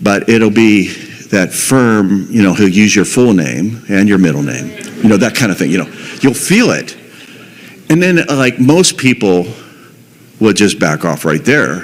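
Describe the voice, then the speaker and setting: Speaking at a fairly slow pace with long, frequent pauses, a man's pitch swings very widely against noticeable background noise. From Pittsburgh, US. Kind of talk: testimony. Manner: halting, repetitive.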